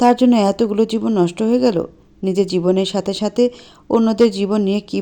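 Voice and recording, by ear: The text is read aloud in a natural voice.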